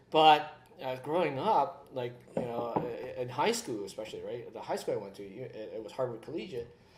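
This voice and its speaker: At a fairly quick pace, a man speaks with big swings in loudness. The audio has audible room echo and noticeable background noise. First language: Cantonese. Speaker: whisky show co-host. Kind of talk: casual chat. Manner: halting, many fillers.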